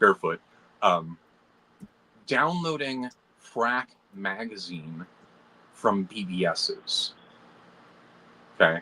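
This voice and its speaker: Very slowly, a man speaks with long, frequent pauses at a fairly low pitch. His tone is bright and sharp, and his pitch swings very widely. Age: 40s. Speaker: computational biologist and engineer. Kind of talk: casual chat. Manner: animated.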